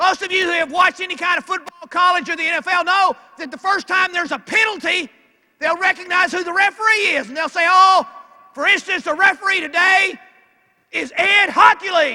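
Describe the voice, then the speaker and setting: Raised and projected, a man's bright, sharp voice with a Southern US accent hits an extremely high pitch at a fairly quick pace with ordinary pitch variation. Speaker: NFL referee and speaker. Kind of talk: motivational speech. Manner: animated.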